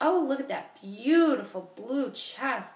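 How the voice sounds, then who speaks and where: In a put-on character voice, a woman speaks with a high pitch and lively intonation. She takes a fairly slow pace. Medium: read story. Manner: playful, stubborn.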